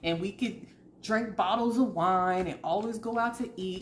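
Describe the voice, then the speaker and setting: Over noticeable background noise, a woman with an American accent speaks in an animated tone. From US South. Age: 30s. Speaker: tarot reader. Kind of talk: casual chat.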